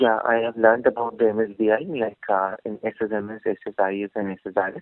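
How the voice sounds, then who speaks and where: Soft-spoken and fairly low-pitched, a man speaks at a very fast pace with fairly even intonation. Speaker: job candidate, fresh graduate. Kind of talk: job interview. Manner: halting. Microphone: too quiet.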